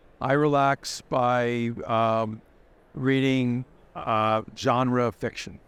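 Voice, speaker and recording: Delivered at a very slow pace in an American accent, the speech has monotone, flat intonation. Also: man, medium pitch for a man. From United States. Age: 70s. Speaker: tech journalist. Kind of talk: interview.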